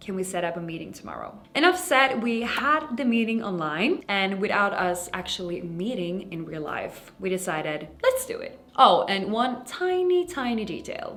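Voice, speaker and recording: A woman at a medium pitch talks at a moderate pace with hardly any pauses, very wide pitch swings and big swings in loudness, over noticeable background noise. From Sweden. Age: 20s. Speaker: makeup artist and influencer. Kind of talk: scripted narration.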